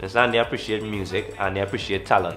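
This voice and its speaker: A Trinidadian accent over music in the background. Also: man. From Trinidad and Tobago. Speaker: calypso and soca musician. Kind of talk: interview answer.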